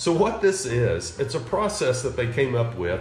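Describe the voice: Very wide pitch swings mark a voice with an East Texas accent, heard over music in the background. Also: man. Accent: East Texas southern.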